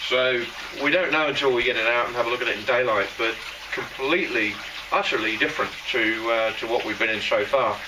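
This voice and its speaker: Noticeable background noise runs beneath the male voice. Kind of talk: casual vlog chat. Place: tunnel cave. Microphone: camera far.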